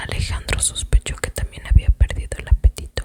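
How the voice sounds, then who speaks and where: A whispering woman, dry and close with no echo, over noticeable background noise. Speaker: ASMR content creator. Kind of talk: whispered book reading. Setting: close to the microphone, chewing gum. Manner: whispered, soft-spoken.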